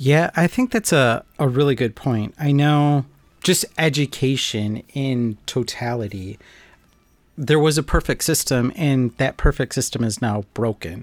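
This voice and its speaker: A man with an unremarkable speaking voice talks at a fairly slow pace, his pitch medium with ordinary variation. The sound is dry and close, with no echo. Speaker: podcast host. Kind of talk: casual podcast conversation.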